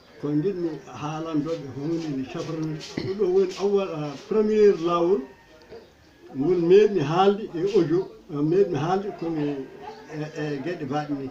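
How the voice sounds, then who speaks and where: With music in the background, a man speaks at a fairly slow pace with long, frequent pauses, his high voice showing ordinary pitch variation. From Senegal, Podor area (Fuuta Tooro). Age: 80s+. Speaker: traditional healer. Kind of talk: interview.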